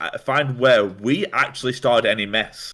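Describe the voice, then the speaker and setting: Loud and bright with a sharp tone, a man speaks at a moderate pace in a fairly high voice. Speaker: streamer. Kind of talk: casual chat.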